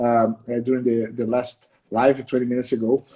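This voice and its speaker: A man with a Portuguese accent speaks at a fairly quick pace. His tone is dark and mellow. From Brazil. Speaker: martial arts instructor. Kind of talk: live interview. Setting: livestream. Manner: halting.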